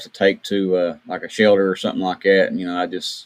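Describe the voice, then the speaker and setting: A man talks at a fairly quick pace in an Appalachian accent. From West Virginia. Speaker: podcast radio host. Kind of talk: casual interview.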